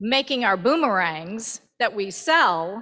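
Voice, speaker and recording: This woman's voice has a bright, sharp tone. The recording is very clean, with a silent background. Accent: Virginian. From Virginia, US South. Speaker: church member. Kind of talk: testimony. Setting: church.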